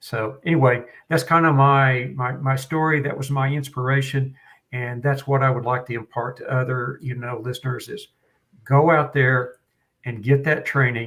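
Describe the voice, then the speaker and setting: The speaker has a Western Oklahoma accent and fairly even intonation. The recording is very clean, with a silent background. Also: man, medium pitch for a man, moderate pace. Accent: Western Oklahoma twang. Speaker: firearms trainer. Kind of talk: podcast interview.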